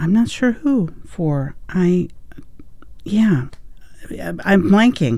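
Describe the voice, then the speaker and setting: Her tone is dark and mellow, and her pitch is fairly low. The woman speaks at a very slow pace. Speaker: radio host. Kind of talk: live radio hosting, announcements and track back-announcing. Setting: radio studio. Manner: informal, hesitant with frequent 'uh' and 'um'.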